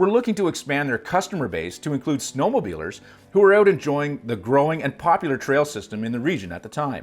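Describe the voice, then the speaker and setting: Music plays behind a man talking at a very fast pace. His fairly high voice swings very widely in pitch. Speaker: snowmobile travel show host. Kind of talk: scripted narration.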